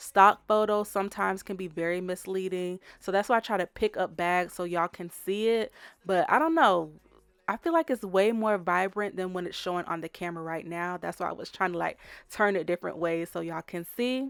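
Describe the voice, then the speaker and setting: A woman's animated, medium-pitched voice at a fairly quick pace, dry and close with no echo, in a very clean recording over a silent background. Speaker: fashion vlogger. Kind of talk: casual shopping vlog walkthrough. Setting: outdoors at outlet stores.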